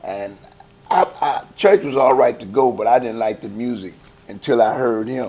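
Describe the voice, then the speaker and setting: The speaker has a strong Southern US accent and lively intonation, with big swings in loudness. The pace is moderate, and there is noticeable background noise. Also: man, medium pitch for a man. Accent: heavy Southern US. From Chicago, West Side. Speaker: gospel choir founder. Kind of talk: interview. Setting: church. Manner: casual, halting with repetitions.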